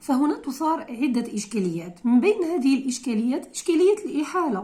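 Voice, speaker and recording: Pitch swings very widely while the delivery holds a moderate pace. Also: woman. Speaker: law lecturer. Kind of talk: lecture. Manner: halting.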